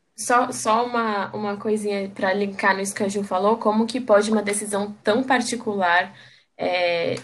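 A woman's ordinary speaking voice, medium in pitch, fairly even intonation, very clean recording with a silent background. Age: 20s. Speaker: reproductive rights activist. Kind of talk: casual chat.

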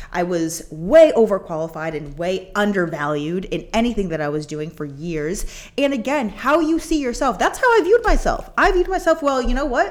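A woman with a fairly high voice whose pitch swings very widely. She speaks energetically at a moderate pace, with hardly any pauses. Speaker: podcast co-host and coach. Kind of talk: casual chat.

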